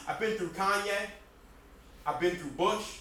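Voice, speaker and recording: A man with an American accent speaks at a high pitch with fairly even intonation. Room echo is audible and background noise is noticeable. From Jersey City, New Jersey. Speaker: spoken word poet. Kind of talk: spoken word performance.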